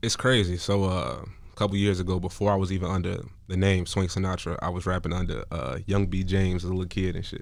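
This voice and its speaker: A man with a very deep, low pitch speaks at a very fast pace. His intonation is fairly even, and there is audible room echo. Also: hardly any pauses. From Chicago. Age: 20s. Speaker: rapper. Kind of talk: radio interview. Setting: studio.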